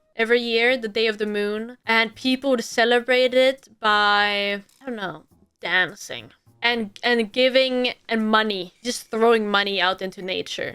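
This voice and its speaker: A woman with a Swedish accent speaks at a moderate pace in a fairly high, bright, sharp voice with an animated tone. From Sweden. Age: 20s. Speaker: streamer. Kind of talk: casual Q&A video.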